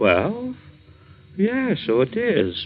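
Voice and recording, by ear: With faint music in the background, a man puts on a high character voice with a slightly husky edge, very wide pitch swings and a very slow pace.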